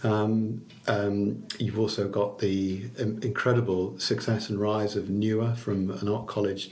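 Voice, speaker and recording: A man talks in a flat monotone at a fairly low pitch. His voice is somewhat breathy, with audible room echo. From Liverpool, England. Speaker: chamber of commerce chief executive. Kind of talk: podcast interview. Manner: halting, many repeated words and fillers.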